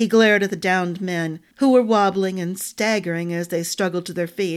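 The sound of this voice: The speaker reads in an unforced reading voice.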